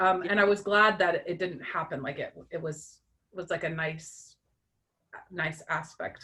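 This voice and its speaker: In a Russian accent, a woman speaks fairly slowly with fairly even intonation and a bright, sharp tone. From US, immigrant childhood. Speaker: book club member. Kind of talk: casual chat. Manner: halting.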